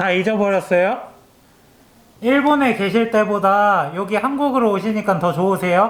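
Keeping very even loudness, a man with a high pitch speaks at a moderate pace. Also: ordinary pitch variation. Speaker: newspaper political reporter. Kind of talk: interview questions to camera and interviewee.

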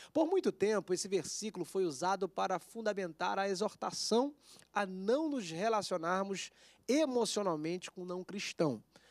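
Against a quiet background with a dry sound and no echo, a man with a high pitch speaks at a moderate pace using lively intonation. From Brazil. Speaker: TV show host. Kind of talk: casual chat. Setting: studio. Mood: earnest religious reflection. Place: studio. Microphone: handheld.

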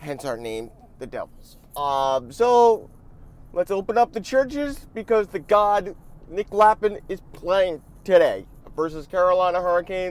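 At a fairly slow pace, a man speaks in a high voice with very wide pitch swings and big swings in loudness, the sound dry with no echo. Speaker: hockey fan vlogger. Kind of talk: casual vlog. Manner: hesitant, many fillers; slurs words. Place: car. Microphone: earbuds.

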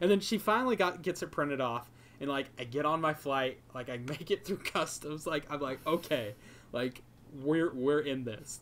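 Against light background noise, the speaker talks at a moderate pace with ordinary pitch variation. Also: man, fairly high pitch for a man. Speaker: YouTube video creator and podcast co-host; podcast co-host. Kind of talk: casual chat. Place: home room. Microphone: microphone plugged into laptop; earbuds.

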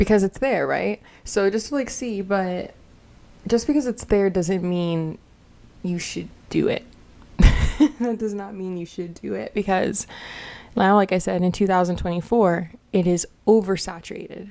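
Speaking at a fairly slow pace with long, frequent pauses, a woman has a dark, mellow tone and ordinary pitch variation. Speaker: commentary vlogger. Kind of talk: casual commentary chat. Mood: candid, sometimes laughing. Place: home room. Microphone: studio mic.

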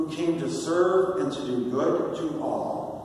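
A man's voice in a strongly echoing room, with light background noise. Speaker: deacon leading prayer. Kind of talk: liturgical prayer, leading intercessions and responses. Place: church.

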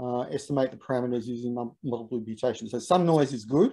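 The man's voice carries a dark, mellow tone. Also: quiet background. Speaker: university researcher, seminar speaker; presenter. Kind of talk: academic lecture; Q&A answer. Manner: halting, many fillers. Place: home room. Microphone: video call.

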